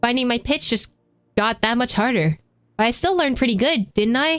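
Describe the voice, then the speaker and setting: Using a put-on character voice, a woman speaks fairly quickly in a raspy, high-pitched tone with lively intonation and very even loudness, in a dry, close sound with no echo. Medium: machinima.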